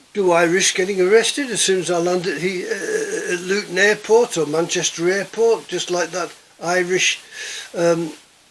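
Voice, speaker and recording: A high-pitched man with an English accent and ordinary pitch variation, heard over noticeable background noise. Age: 70s. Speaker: prepping vlogger. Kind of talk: casual monologue. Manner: halting, many repetitions.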